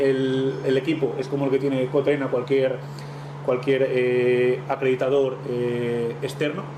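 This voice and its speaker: Against noticeable background noise, a man with a Spanish accent talks in a fairly high pitch with fairly even intonation. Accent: Peninsular Spanish. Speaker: technical presenter, marine engine equipment. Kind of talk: technical presentation. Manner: fast.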